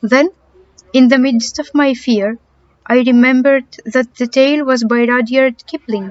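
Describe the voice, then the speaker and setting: A woman with a Greek accent speaks at a high pitch and a moderate pace. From Greece. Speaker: amateur audiobook reader. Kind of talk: audiobook reading of a horror story.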